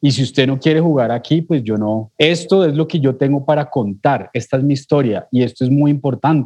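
The man's voice has a dark, mellow tone. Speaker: podcast host. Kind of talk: podcast interview.

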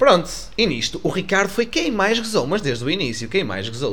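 A man talks at a very fast pace, his pitch swinging very widely. Room echo is audible. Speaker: podcast co-host. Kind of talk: casual chat.

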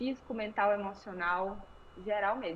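A woman with a fairly high pitch talks with ordinary pitch variation. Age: 20s. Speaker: yoga instructor. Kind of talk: interview.

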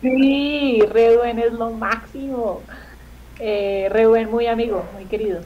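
Her pitch is fairly high and her intonation fairly even as this woman speaks. The pace is very slow, and there is audible room echo. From Colombia. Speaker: comedian. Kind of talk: casual chat.

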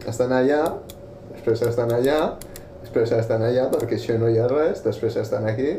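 Behind speech delivered at a moderate pace, background noise is clearly audible. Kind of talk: casual chat while gaming. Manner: animated, laughing.

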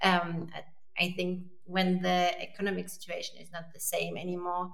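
Moderately paced speech from a woman amid noticeable background noise and audible room echo. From France. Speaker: online marketing lead. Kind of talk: casual chat.

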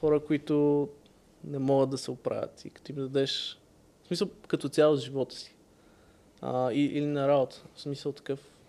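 On a very clean recording with a silent background, a man with a fairly high voice speaks at a moderate pace in a flat monotone. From Bulgaria (Sofia and Varna). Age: 20s. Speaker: tech entrepreneur. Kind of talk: casual interview.

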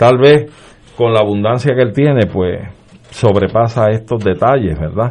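A man speaks at a fairly slow pace in a normal speaking voice. His pitch is medium, with ordinary pitch variation. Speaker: lawyer. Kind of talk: political panel discussion. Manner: formal.

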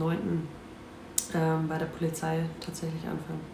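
In a room with audible echo and noticeable background noise, a woman speaks at a moderate pace in a fairly low pitch. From North Rhine-Westphalia. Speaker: football player. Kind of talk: casual chat.

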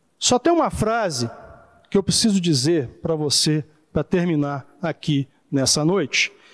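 With a normal speaking voice, a man talks at a fairly slow pace with fairly high pitch, lively intonation and very even loudness, in a very clean recording with a silent background and a dry, close sound with no echo. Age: 40s. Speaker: pastor. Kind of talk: sermon.

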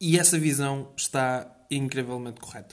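Speaking with a European Portuguese accent, a man with a fairly high pitch talks at a very slow pace with ordinary pitch variation. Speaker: podcast host. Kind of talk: casual solo monologue. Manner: energetic; halting.

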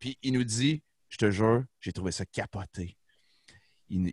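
A man's ordinary pitch variation comes through in a dry, close sound with no echo. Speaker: rock band musician. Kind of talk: casual chat. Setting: video call.

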